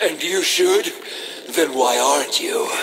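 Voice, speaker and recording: A man puts on a cartoonish character voice at a fairly slow pace. Clear background noise runs behind him. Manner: mocking, menacing.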